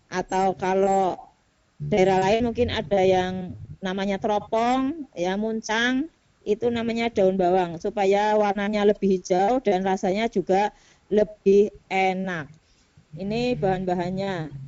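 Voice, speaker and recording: The speech comes with a Central Javanese accent at a very slow pace. Pitch variation is ordinary. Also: woman, medium pitch for a woman. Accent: Brebes accent (Central Java), noticeable. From Brebes, Central Java, Indonesia. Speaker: teacher presenting in a teachers' video conference. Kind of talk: cooking demonstration presentation. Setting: video call.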